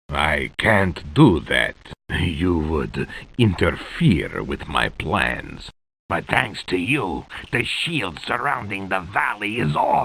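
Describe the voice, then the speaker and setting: Putting on a character voice, a man speaks at a very deep, low pitch and a very slow pace with very wide pitch swings. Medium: video game. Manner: smug, mocking.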